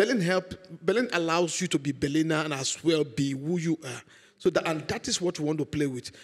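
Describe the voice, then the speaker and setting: A man with an African accent speaks at a fairly quick pace. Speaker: sitcom director. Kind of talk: talk show interview.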